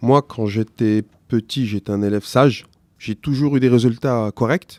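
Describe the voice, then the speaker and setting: A man with a medium pitch speaks at a fairly slow pace with fairly even intonation, in a dry, close sound with no echo. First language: not French (speaking French). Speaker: teacher. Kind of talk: interview. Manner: halting.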